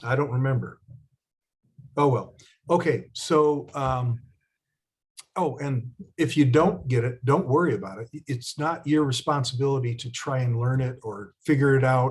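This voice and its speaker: A man at a medium pitch, somewhat breathy, fairly slow, with ordinary pitch variation and long, frequent pauses. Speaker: spiritual teacher. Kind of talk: teaching workshop. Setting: video call.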